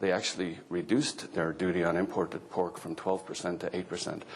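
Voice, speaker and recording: On a very clean recording with a silent background, a man with a very deep, low pitch talks at a fairly quick pace. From Ireland. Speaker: agricultural economist. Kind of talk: conference talk.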